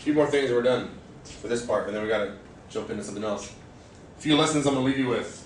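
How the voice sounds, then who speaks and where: A man with an American accent speaks very fast at a medium pitch, in an animated tone with ordinary pitch variation and long, frequent pauses. Noticeable background noise and audible room echo fill the recording. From California, Bay Area. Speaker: fitness manager. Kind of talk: motivational staff presentation. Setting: staff meeting.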